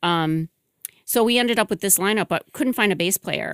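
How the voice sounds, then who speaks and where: In a very clean recording with a silent background and a dry, close sound with no echo, a woman with a normal speaking voice and an American accent talks at a fairly quick pace with ordinary pitch variation. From Michigan. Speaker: musician and record label owner. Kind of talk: casual interview. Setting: studio.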